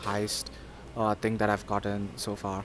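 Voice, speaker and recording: Music plays in the background. A man talks with a Sindhi accent. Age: 20s. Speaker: university student. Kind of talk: interview. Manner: hesitant, many fillers.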